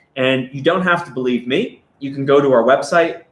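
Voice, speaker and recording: A normal speaking voice, its pitch varying in an ordinary way, at a moderate pace. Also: man. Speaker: stablecoin company representative. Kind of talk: live stream interview. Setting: live stream.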